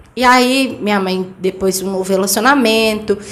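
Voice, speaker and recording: A woman with a medium pitch talks at a moderate pace in a monotone, flat delivery. Audible room echo and noticeable background noise fill the recording. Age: 20s. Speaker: interview guest, mother and cleaning business owner. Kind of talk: testimony. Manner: direct.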